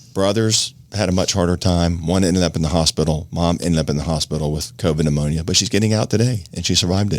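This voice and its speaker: Very deep and low, a man's voice rushes along at a very fast pace with hardly any pauses, very even loudness and ordinary pitch variation. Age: 50s. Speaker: podcast host. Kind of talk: casual chat.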